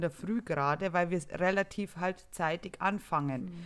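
A woman with a plain, everyday voice speaks at a medium pitch and moderate pace, with ordinary pitch variation. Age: 30s. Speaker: podcast co-host, nurse. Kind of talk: casual chat.

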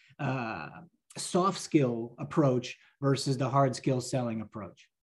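The voice is somewhat breathy, belonging to a man with an American accent. He talks at a fairly slow pace. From New Jersey, US. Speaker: pharmaceutical sales professional. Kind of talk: casual interview chat. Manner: filler-heavy, conversational.

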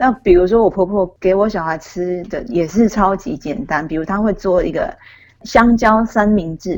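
In a plain, everyday voice, a woman talks at a medium pitch and a moderate pace with ordinary pitch variation. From Taiwan. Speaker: author. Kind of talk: interview.

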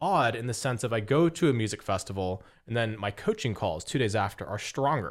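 In an ordinary speaking voice, a man with an American accent talks at a medium pitch with ordinary pitch variation on a very clean recording with a silent background. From US West, Las Vegas. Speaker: business coach. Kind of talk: interview.

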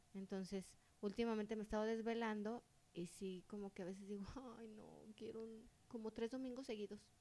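A woman with a dark, mellow tone speaks in a monotone, flat intonation. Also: fairly high pitch for a woman, fairly quick pace. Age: 40s. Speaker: podcast co-host. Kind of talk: casual chat.

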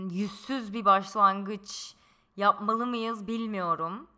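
A woman speaks very slowly in a bright, sharp tone with ordinary pitch variation. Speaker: podcast co-host. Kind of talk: casual chat. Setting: in-person shared microphone.

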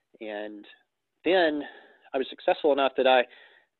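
This speaker talks at a fairly quick pace with ordinary pitch variation and a north Alabama accent. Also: man. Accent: Southern US (north Alabama). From US South. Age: 30s. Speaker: real estate investor and broker. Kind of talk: casual interview chat.

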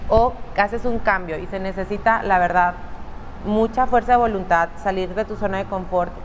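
Amid noticeable background noise, a woman speaks at a moderate pace and medium pitch with fairly even intonation. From northeastern Mexico. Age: 30s. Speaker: makeup artist and salon owner. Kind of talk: interview. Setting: studio.

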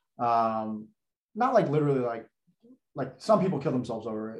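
Very wide pitch swings mark this man's speech. There is a somewhat breathy quality to his voice. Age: 20s. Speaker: former investment banker and content creator. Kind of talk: casual interview chat.

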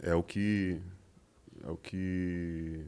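A man speaks with a very deep, low pitch. His intonation is fairly even. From ABC Paulista, São Paulo, Brazil. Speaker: musician. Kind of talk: casual chat.

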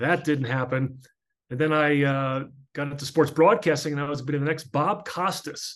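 A man with an American accent talks at a moderate pace and a fairly high pitch. He has an ordinary speaking voice with ordinary pitch variation. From US, northern New Jersey. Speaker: author and former sports broadcaster. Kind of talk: interview testimony.

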